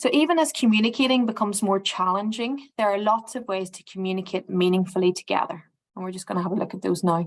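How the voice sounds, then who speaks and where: Talking at a very fast pace, a woman with medium pitch and ordinary pitch variation makes big swings in loudness. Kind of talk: presentation. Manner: hesitant.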